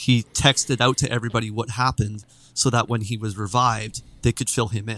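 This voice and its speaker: With a western Canadian accent, a man talks at a fairly quick pace in a bright, sharp tone, medium in pitch and flat, monotone in intonation. The sound is dry and close with no echo, on a very clean recording with a silent background. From Canada, Vancouver Island. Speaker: gaming streamer. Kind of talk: casual chat.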